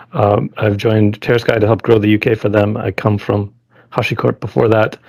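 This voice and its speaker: A man with an American accent speaks at a fairly quick pace in a fairly low pitch. Noticeable background noise runs underneath. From US Midwest, Chicago. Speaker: field CTO. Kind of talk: podcast interview.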